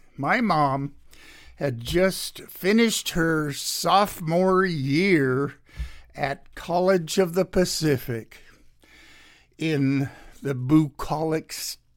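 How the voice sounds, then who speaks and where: A man in an American accent talks with pitch that varies in an ordinary way. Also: very clean recording, silent background. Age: 80s. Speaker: radio host. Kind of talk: solo radio show monologue, political commentary and memoir.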